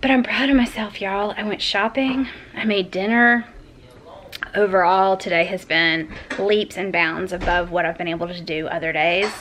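A woman talks in a Southern US accent with ordinary pitch variation. Light background noise can be heard. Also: moderate pace. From US South. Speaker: lifestyle vlogger. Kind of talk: casual vlog. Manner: chatty.

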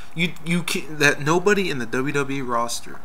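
Against light background noise, a man with a fairly high pitch makes very wide pitch swings. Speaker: wrestling fan video blogger. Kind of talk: casual video response rant about wrestling matches. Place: home room. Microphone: webcam.

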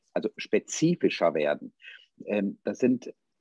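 A man against a quiet background, with a dry sound and no echo. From western Germany. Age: 50s. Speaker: politician and theologian; politician. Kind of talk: political debate. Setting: video call. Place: office. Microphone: video call.

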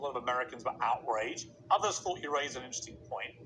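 A man speaks at a very fast pace with ordinary pitch variation. Noticeable background noise runs behind him. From England. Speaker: interviewer. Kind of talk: interview. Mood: probing, challenging. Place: studio. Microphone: lapel.

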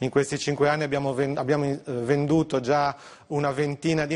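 A normal speaking voice from a man, fairly high in pitch, at a fairly slow pace. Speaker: industry executive. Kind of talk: TV interview. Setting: remote video link.

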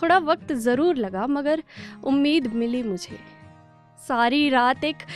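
Faint music plays behind a woman whose voice is high-pitched, the sound dry with no echo. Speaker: spoken word poet. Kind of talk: spoken word poetry. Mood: wistful, hopeful, smiling. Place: studio. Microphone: studio mic.

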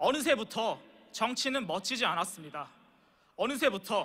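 A man speaks at a moderate pace. His voice is raised and projected. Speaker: speaker. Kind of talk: speech. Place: hall. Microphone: podium.

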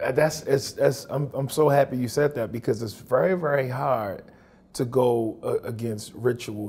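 This man's voice has a dark, mellow tone at a medium pitch. It sounds somewhat breathy. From Baltimore. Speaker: interviewer, writer; interviewer. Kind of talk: interview. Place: studio. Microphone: lapel.

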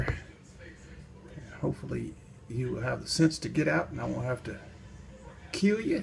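Someone with a Southern US accent talks at a fairly quick pace against noticeable background noise. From Georgia, US. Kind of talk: casual talk while filming.

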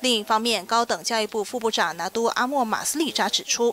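The sound is dry with no echo, and light background noise can be heard. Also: woman. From Malaysia. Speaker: news reader. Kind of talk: news reading. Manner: formal.

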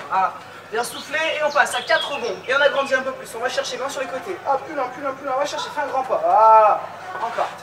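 Someone talks at a very fast pace amid noticeable background noise. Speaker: fitness coach. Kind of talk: workout instruction. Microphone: camera far.

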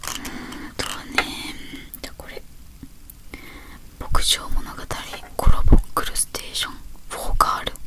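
Whispering at a fairly slow pace, a woman leaves long, frequent pauses, her loudness swinging widely. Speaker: ASMR creator. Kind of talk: ASMR whispered talk. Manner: whispered. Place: home room. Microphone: handheld.

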